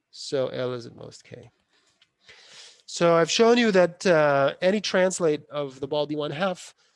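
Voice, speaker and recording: A man uses a normal speaking voice at a fairly high pitch. His pace is fairly slow, with ordinary pitch variation. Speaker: university lecturer. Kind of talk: lecture.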